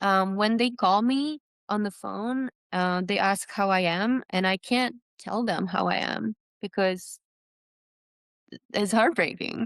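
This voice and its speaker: In a Czech accent, a woman speaks at a fairly slow pace with long, frequent pauses. Her pitch is medium with ordinary variation. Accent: Czech accent, noticeable. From Czech Republic (Prague). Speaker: trail runner. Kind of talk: podcast interview. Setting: video call.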